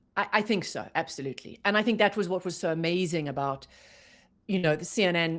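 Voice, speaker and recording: A woman's fairly low voice at a fairly quick pace, with ordinary pitch variation, on a very clean recording with a silent background. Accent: South African. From South Africa. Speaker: journalist, former news anchor. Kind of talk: interview answer.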